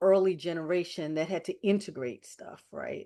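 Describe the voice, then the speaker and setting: The speaker has an unremarkable speaking voice. The pace is fairly slow. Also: woman. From New York. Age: 60s. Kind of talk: casual chat.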